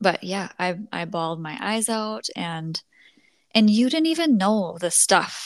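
Speaking at a fairly slow pace, a woman at medium pitch makes very wide pitch swings and big swings in loudness. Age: 30s. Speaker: podcast host. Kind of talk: casual chat. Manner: animated.

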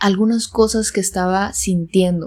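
Monotone, flat intonation on a very clean recording with a silent background. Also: woman. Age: 20s. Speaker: podcast host. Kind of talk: solo podcast monologue.

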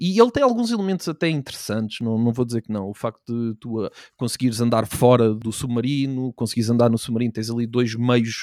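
Very clean recording with a silent background, a man's voice sounding dry and close with no echo. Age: 20s. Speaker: gaming streamer. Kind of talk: casual chat.

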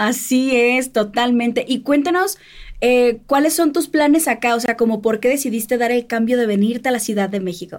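The pace is moderate. Pitch variation is ordinary. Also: woman, high pitch for a woman. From Mexico, Sinaloa. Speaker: podcast host. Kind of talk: interview. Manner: animated.

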